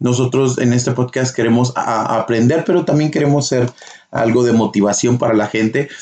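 This man has a plain, everyday voice, medium in pitch with ordinary pitch variation, and he talks at a fairly slow pace. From northern Mexico (Durango, Chihuahua), then US. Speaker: podcast host. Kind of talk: casual chat.

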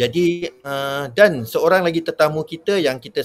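A man with an unremarkable speaking voice talks at a fairly high pitch with lively intonation. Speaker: webinar host. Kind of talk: live educational webinar. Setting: live online broadcast from Muar.

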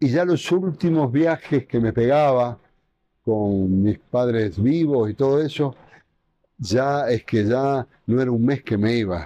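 A man speaks very slowly at a medium pitch, with a dark, mellow tone, lively intonation and very even loudness. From Argentina. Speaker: restaurant owner. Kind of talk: interview.

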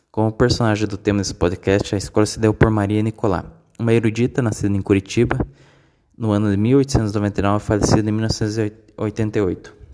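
In a dark, mellow tone and a fairly low pitch, a man speaks at a moderate pace with flat, monotone intonation. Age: 20s. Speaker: university student. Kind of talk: reading aloud. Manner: formal; halting.

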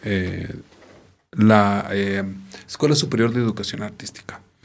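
In a normal speaking voice, a man whose pitch is fairly low talks at a moderate pace. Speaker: theatre artist and arts educator. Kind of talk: casual interview.

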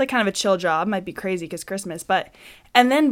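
A woman is speaking. She talks at a very fast pace. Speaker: podcast co-host. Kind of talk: casual chat. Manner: fast talker, few breaths.

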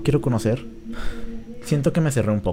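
Noticeable noise runs in the background. Over it, a man talks. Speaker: podcast host. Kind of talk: casual chat.

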